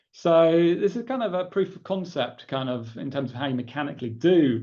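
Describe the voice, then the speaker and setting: Audible room echo surrounds a man speaking in an English accent. His intonation is lively. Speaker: professor. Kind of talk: lecture. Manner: casual, with frequent fillers.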